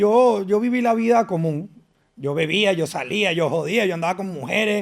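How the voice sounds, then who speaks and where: A high-pitched man's voice in a Venezuelan accent, with ordinary pitch variation. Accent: Venezuelan, kept. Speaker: fitness and nutrition influencer. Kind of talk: podcast interview.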